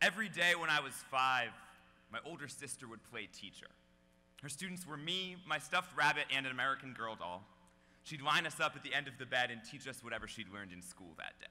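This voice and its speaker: A man speaks at a fairly quick pace with a fairly high pitch, a bright, sharp tone, vocal fry, lively intonation and big swings in loudness. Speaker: slam poet. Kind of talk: slam poetry performance.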